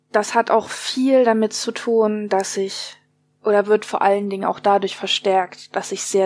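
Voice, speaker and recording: This woman speaks at a moderate pace and a medium pitch. Her intonation stays monotone and flat. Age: 20s. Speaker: interviewee with mental illness. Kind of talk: interview.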